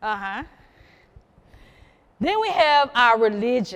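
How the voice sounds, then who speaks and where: Her intonation is lively and her pitch high. The woman speaks at a fairly slow pace with an American accent. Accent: Southern US, Gullah Geechee. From South Carolina. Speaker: storyteller and sweetgrass basket weaver. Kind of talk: live storytelling talk to an audience. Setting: museum program before a live audience. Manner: lively, conversational.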